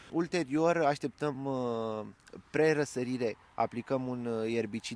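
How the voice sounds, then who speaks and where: Talking at a very slow pace, a man shows ordinary pitch variation in a dry recording with no echo. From Romania. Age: 20s. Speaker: farmer and agronomist; interviewee. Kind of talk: interview. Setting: outdoors on a farm field. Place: farm machine. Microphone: handheld.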